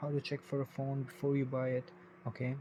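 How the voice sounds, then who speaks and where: His voice sits fairly high in pitch. The man has a non-native accent. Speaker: tech reviewer. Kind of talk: casual tech review. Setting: home bedroom, at night. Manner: informal, slightly halting.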